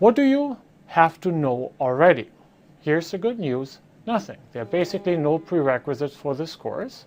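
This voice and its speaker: In a very clean recording with a silent background, a man with a German accent talks in a high voice that swings very widely in pitch. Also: moderate pace. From Germany. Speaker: professor. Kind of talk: lecture. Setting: office. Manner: hesitant with fillers.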